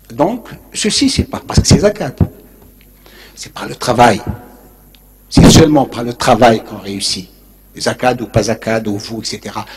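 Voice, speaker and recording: A man speaks at a medium pitch and a fairly slow pace, with ordinary pitch variation and long, frequent pauses. His loudness swings widely, and noticeable background noise runs underneath. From Algeria, Béjaïa. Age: 70s. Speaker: urban planner and author. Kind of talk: lecture. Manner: informal, digressive.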